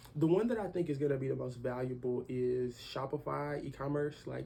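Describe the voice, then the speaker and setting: Speaking at a fairly quick pace with hardly any pauses, a man with a medium-pitched voice talks over noticeable background noise. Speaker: young entrepreneur. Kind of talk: casual interview.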